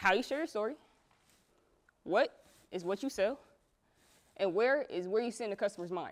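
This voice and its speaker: A woman's fairly high voice carries an animated tone, with long, frequent pauses. The recording is very clean, with a silent background. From US West Coast family. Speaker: entrepreneur, interviewer and speaker. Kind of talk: presentation to audience. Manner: fast.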